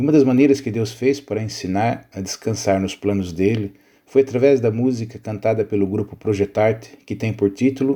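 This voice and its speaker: In a Brazilian accent, a man speaks with a fairly low pitch, a dark, mellow tone and ordinary pitch variation. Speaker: pastor. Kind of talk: scripted narration.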